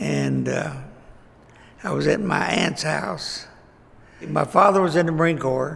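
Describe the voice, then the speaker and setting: A man with a Texan accent at a fairly slow pace, long, frequent pauses, audible room echo and noticeable background noise. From Texas, Fort Worth. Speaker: local elder recounting life history. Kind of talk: oral history interview. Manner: halting.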